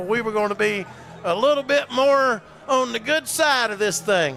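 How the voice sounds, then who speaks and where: A man's raised, projected voice with a Southern US accent, ordinary pitch variation and noticeable background noise. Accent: Southern American. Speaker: play-by-play sports announcer. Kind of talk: live commentary. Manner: animated; loud.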